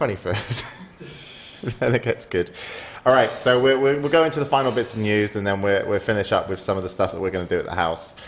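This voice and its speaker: Over noticeable background noise, a man speaks at a very fast pace with a medium pitch and lively intonation. He leaves long, frequent pauses. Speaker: esports show host. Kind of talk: casual chat.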